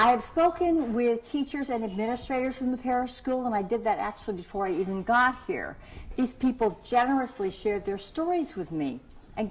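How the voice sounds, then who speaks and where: A woman's high voice with an American accent, lively intonation and a fairly quick pace. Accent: Texas accent, comes back after two days there. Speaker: keynote speaker and parenting researcher. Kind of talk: keynote speech.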